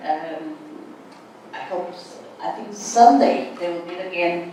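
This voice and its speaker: Someone with a Portuguese accent speaks at a very slow pace, with noticeable background noise and audible room echo. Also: woman. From Portugal. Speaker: writer. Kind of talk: seminar talk. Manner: halting.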